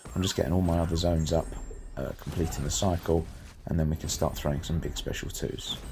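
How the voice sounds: Over background music, a man puts on a croaky character voice at a very deep, low pitch and talks very fast.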